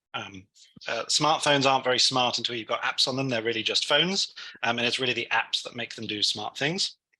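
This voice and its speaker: A man with a London accent speaks at a fairly quick pace in a medium pitch, his bright, sharp tone carrying ordinary pitch variation. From London, England. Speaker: technology instructor. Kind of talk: tutorial. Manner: hesitant, many fillers.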